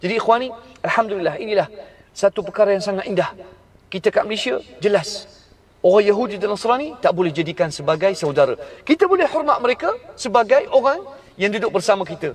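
A man with a high pitch talks at a very fast pace with lively intonation and long, frequent pauses, over light background noise. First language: Arabic (speaking Malay). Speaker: Islamic preacher. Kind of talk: religious lecture. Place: car. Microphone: phone near.

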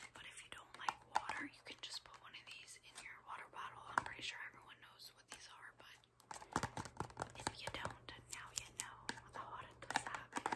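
A woman whispers at a moderate pace with long, frequent pauses. Her loudness swings widely. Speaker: ASMR creator. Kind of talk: ASMR haul talk to camera. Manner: whispered, soft-spoken. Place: home room. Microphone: phone near.

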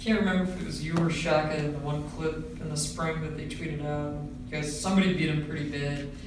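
Speech at a very fast pace comes through strong room echo and noticeable background noise. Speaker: sports reporter. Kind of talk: press interview. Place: meeting room.

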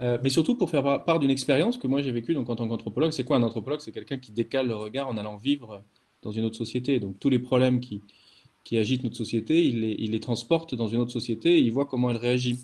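A man's speech runs at a very fast pace, its pitch varying in an ordinary way. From France, Lyon area. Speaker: anthropologist. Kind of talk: online lecture. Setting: video call. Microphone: video call.

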